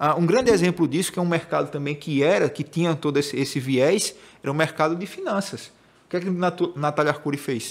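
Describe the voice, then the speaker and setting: In a very clean recording with a silent background, a man with a northeastern Brazilian accent speaks at a very fast pace with a fairly high pitch and ordinary pitch variation. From Northeast Brazil, Maceió (Alagoas). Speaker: digital marketing specialist. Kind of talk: podcast conversation.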